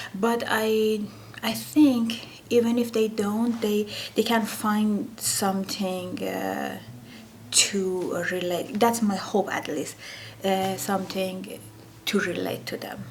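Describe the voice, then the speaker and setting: With an Iranian accent, a woman talks at a very slow pace and medium pitch, using ordinary pitch variation. Audible room echo and noticeable background noise come through. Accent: Iranian (Persian). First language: Persian. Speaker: painter. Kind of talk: interview. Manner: halting, many fillers.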